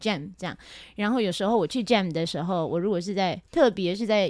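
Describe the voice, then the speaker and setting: In a very clean recording with a silent background, a woman talks at a moderate pace with lively intonation in an unremarkable speaking voice. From Taiwan. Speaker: jazz singer and music teacher. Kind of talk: interview.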